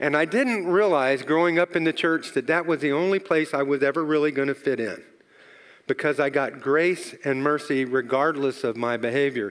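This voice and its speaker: At a moderate pace and very even loudness, a man with an unremarkable speaking voice talks at a fairly high pitch with ordinary pitch variation. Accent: American. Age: 60s. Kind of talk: testimony. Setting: church.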